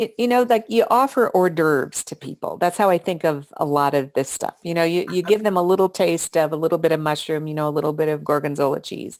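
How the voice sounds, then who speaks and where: On a very clean recording with a silent background, a woman with an American accent talks at a very fast pace with hardly any pauses, using lively intonation and a fairly low pitch. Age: 60s. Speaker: author. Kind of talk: interview.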